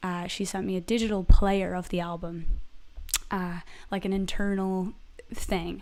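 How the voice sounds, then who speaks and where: A woman speaks in an animated tone with an American accent. The recording is very clean, with a silent background. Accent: American-sounding despite Irish origin. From Ireland. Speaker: singer-songwriter. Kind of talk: casual live stream chat. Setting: live stream at home. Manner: animated, chatty.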